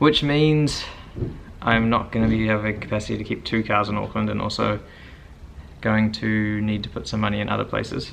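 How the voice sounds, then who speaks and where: Speaking at a moderate pace with a New Zealand accent, a man keeps a fairly low pitch and fairly even intonation. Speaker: car vlogger. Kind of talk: casual vlog.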